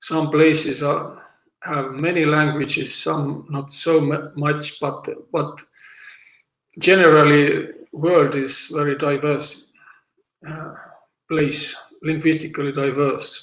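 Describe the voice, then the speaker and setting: A man with an Estonian accent speaks at a very slow pace, in a fairly high pitch and a flat, monotone intonation. His speech has long, frequent pauses, and audible room echo surrounds it. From South Estonia, Võro County. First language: Võro. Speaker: language teacher. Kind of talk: lecture. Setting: online seminar. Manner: halting, many fillers.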